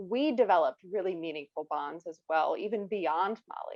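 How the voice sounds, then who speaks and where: Speaking in a Midwestern American accent, a woman uses a medium pitch with ordinary pitch variation. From US Midwest, rural Ohio. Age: 20s. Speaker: children's author. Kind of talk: interview.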